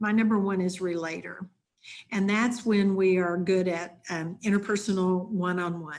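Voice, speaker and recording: A woman speaks in an unremarkable speaking voice at medium pitch and moderate pace. Her intonation is fairly even, and the background is quiet. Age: 60s. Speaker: leadership coach and consultant. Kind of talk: webinar presentation.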